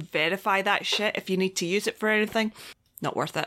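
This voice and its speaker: With a Scottish accent, a woman speaks very fast in a bright, sharp tone. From Scotland. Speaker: podcast co-host. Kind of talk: casual chat.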